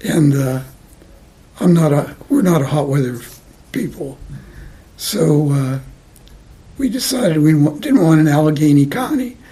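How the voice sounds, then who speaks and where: With an American accent and a fairly high pitch, a man speaks at a moderate pace with lively intonation, long, frequent pauses and noticeable background noise. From New York City, Lower East Side. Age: 90s. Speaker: interviewee, retiree. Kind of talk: oral history interview. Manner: halting, many repeats and fillers.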